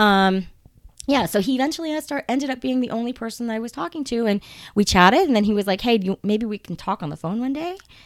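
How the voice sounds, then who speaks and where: Very fast and with lively intonation, a woman speaks at a fairly high pitch. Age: 40s. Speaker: salon owner. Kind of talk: casual interview chat. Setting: guest's salon. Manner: halting, many fillers and restarts.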